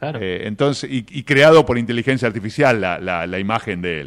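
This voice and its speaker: A man with an ordinary speaking voice talks at a moderate pace, his intonation lively. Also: very clean recording, silent background. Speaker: radio host. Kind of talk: radio interview.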